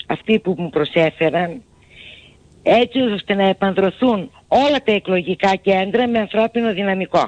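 A woman with an ordinary speaking voice talks at a fairly slow pace and medium pitch, her intonation lively. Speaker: local party official. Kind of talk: radio interview.

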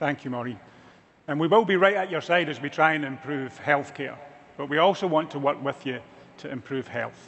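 Over light background noise, a man speaks at a fairly quick pace in a fairly high pitch with ordinary pitch variation. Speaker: healthcare executive. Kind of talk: keynote speech. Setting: stage with audience. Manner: dry humor. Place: stage.

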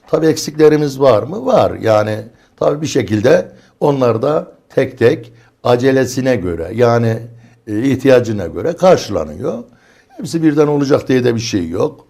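A man speaks at a fairly slow pace with a medium pitch and lively intonation. His tone is dark and mellow, with vocal fry. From Çorum, central Anatolia, Turkey. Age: 60s. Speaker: neighbourhood headman. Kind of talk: studio interview. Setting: studio.

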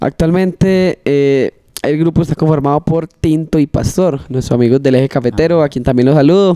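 Against a quiet background, the speech runs at a fairly quick pace with very even loudness and ordinary pitch variation. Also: man, fairly high pitch for a man. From Marinilla, Antioquia, Colombia. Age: 20s. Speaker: trova singer and freestyle rapper. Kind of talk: casual interview; improvised rhymed verse. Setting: studio. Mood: relaxed, friendly. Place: studio. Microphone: handheld.

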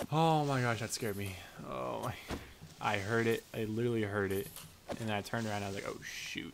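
A man's very fast speech with lively intonation over noticeable background noise. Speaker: gaming youtuber. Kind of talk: let's play commentary. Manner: casual, lots of fillers.

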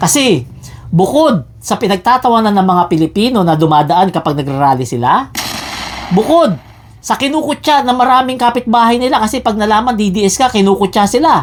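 Over noticeable background noise, a woman with a fairly high pitch swings very widely in pitch while her loudness stays very even. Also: fairly quick pace. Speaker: political vlogger. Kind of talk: angry rant, mocking partisan commentary. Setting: online video, evening upload. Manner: scornful, insulting, jeering; loud, heated, sarcastic, laughing at his targets.

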